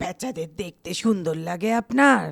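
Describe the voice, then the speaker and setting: This is a put-on character voice at a middle pitch. It moves at a moderate pace. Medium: audio drama. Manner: eerie, insinuating.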